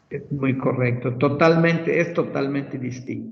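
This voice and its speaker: Audible room echo colors the voice of a man as he talks. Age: 60s. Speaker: medical professor. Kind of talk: lecture.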